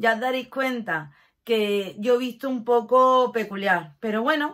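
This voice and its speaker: Against a quiet background, a woman speaks at a fairly slow pace with a fairly high pitch. Her tone is animated and her intonation lively. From Catalonia, Spain (Barcelona), moved to Málaga at 11. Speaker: lifestyle YouTuber. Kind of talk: casual vlog talk to camera. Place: home room. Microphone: phone near.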